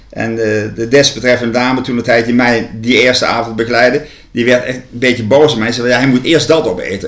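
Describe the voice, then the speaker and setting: The speaker talks fairly quickly with noticeable background noise behind. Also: man. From Netherlands, Gelderland (Land van Maas en Waal). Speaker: university ceremonial officer. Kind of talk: interview. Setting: at a kitchen table. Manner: halting, many repetitions.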